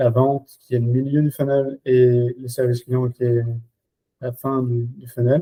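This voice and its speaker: Monotone, flat delivery from a man at medium pitch, somewhat breathy with a dark, mellow tone, dry and close with no echo. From Belgium. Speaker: RevOps and Salesforce expert. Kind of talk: podcast interview. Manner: hesitant, many fillers.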